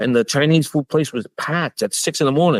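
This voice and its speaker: A man with a New York accent, fairly quick and animated, on a very clean recording with a silent background and a dry, close sound with no echo. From New York City, Queens. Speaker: baker and bakery owner. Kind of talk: podcast interview.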